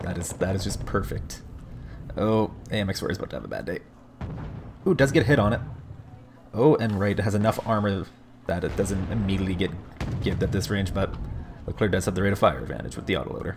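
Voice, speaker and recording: Very fast speech from a man at a fairly low pitch, with ordinary pitch variation, long, frequent pauses and noticeable background noise. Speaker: game caster. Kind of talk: live commentary. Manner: animated.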